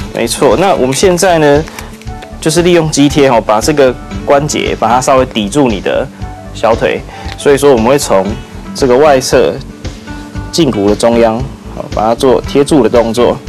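A man speaks with long, frequent pauses. Faint music plays in the background. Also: ordinary pitch variation, moderate pace. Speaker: guest. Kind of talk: tutorial demonstration. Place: studio. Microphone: lapel.

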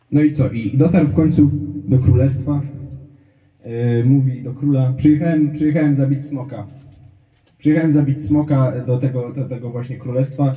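A man speaks at a moderate pace with a fairly high pitch, fairly even intonation and a somewhat breathy quality. The background is quiet, though audible room echo comes through. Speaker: stand-up comedian. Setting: stage with audience. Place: stage.

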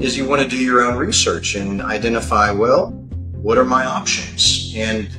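A man talks at a moderate pace and ordinary pitch variation while clear music plays in the background. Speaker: guest. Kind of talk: interview answer. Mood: earnest, explanatory. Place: office. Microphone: video call.

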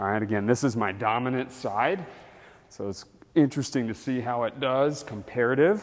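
A man speaks with an energetic tone at a moderate pace. His pitch variation is ordinary. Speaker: fitness instructor. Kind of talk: follow-along workout demonstration. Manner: energetic, instructive, coaching cues; casual and friendly, counting reps aloud. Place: gym.

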